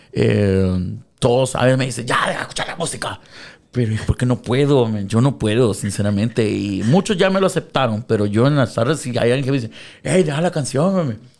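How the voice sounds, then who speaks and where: A plain, everyday voice, the man speaks at a medium pitch and fairly quick pace with lively intonation. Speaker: radio DJ. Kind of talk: casual interview. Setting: radio studio.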